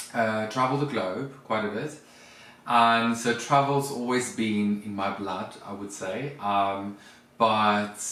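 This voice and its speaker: A man with a South African accent speaks very slowly at a fairly low pitch, his intonation fairly even. His tone is bright and sharp, with audible room echo. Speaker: vlogger, former flight attendant. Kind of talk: casual chat.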